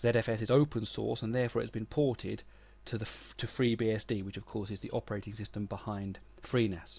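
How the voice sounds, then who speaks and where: Against a silent background in a very clean recording, a man with a British accent speaks very fast with fairly even intonation. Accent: UK. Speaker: tech author and webmaster. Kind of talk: tutorial.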